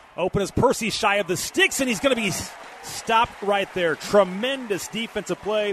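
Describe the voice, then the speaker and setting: Lively intonation from a man, plus noticeable background noise. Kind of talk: live play-by-play commentary. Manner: fluent, fast, clipped play-by-play delivery.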